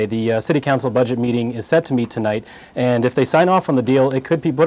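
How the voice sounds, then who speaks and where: A man speaks very fast at a medium pitch, with ordinary pitch variation. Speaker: TV news reporter. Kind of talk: live anchor Q&A answer.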